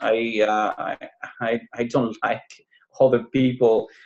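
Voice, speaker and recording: A man speaks with a Spanish accent at a medium pitch. He talks at a fairly slow pace. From Cuba. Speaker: business owner. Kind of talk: interview. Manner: halting.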